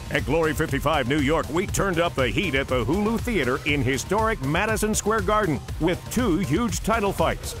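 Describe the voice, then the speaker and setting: Over music in the background, a man talks with very wide pitch swings and hardly any pauses. His loudness stays very even throughout. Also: fairly high pitch for a man, moderate pace. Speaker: ring announcer. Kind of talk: sports promo voiceover.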